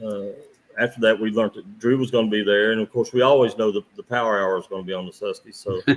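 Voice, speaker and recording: A man talks at a fairly quick pace in an Appalachian accent. His fairly low voice stays monotone and flat. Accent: Appalachian American. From southern West Virginia, Wayne County. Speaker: professional tournament kayak angler. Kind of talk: podcast interview.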